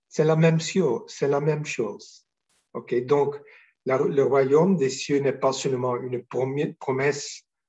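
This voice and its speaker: A somewhat breathy delivery, very slow, with ordinary pitch variation. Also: man. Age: 60s. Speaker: spiritual teacher. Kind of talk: spiritual talk. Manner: halting, many hesitations.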